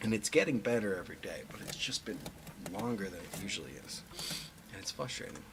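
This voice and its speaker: A man at a medium pitch, talking at a very fast pace with long, frequent pauses, big swings in loudness, ordinary pitch variation, and noticeable background noise. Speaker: musician livestreamer. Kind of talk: casual livestream chat. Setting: live stream from home setup. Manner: rambling, conversational.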